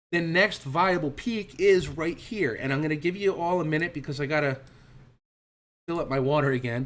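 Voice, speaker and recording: A man speaks in a fairly high pitch with ordinary pitch variation. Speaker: trading instructor. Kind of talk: online trading class. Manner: fast; animated.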